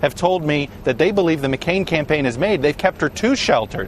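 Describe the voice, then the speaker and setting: Lively intonation at a fairly quick pace over noticeable background noise. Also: man. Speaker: TV news political director. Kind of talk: TV news analysis.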